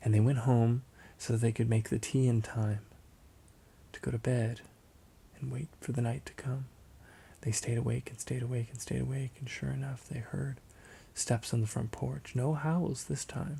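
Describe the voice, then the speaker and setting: A man of medium pitch with a dark, mellow, somewhat breathy tone, ordinary pitch variation and long, frequent pauses. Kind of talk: ASMR roleplay, bedtime story. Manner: soft-spoken, slow.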